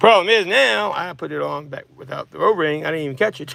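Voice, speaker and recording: Lively intonation and fairly high pitch shape this man's speech. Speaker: mobile mechanic. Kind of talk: tutorial. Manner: fast.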